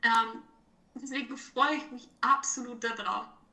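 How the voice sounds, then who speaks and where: A woman's bright, sharp, high-pitched voice with a slight Franconian accent at a fairly slow pace. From Franconia, Germany. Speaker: financial advisor. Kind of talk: casual chat.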